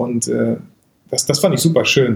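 The man talks at a moderate pace in a medium pitch. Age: 30s. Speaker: photographer and YouTuber. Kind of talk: casual chat. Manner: animated.

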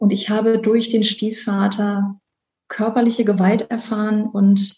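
A woman talks at a fairly slow pace in a dark, mellow tone. Her voice is somewhat breathy and fairly high in pitch. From Rhineland, Germany (Bonn). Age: 30s. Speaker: conference interpreter sharing her depression story. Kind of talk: personal testimony interview. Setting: video call.

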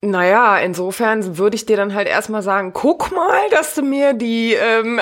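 Noticeable background noise accompanies fairly slow speech. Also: woman. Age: 30s. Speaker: virtual assistant and podcast producer. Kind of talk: casual interview.

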